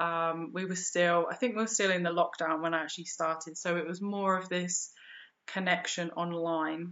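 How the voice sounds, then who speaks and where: Fairly low-pitched for a woman, her voice keeps a monotone, flat intonation at a moderate pace. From England. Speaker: yoga teacher and spiritual educator. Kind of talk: interview. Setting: remote call.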